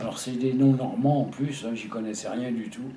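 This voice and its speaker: Room echo is audible and background noise is noticeable. A man speaks at medium pitch with fairly even intonation. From Paris region, France. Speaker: war veteran. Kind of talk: testimony. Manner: halting.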